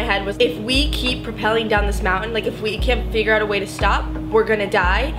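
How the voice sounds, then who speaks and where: Clear music plays in the background as a woman speaks at a fairly quick pace. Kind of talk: casual vlog chat. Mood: serious, emotional recollection. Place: home room. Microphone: camera far.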